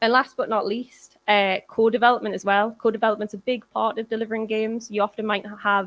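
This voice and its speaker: A woman with a Geordie accent talks very fast in a monotone, flat delivery at a fairly high pitch. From northern England, Newcastle. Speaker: games industry producer. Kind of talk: conference talk.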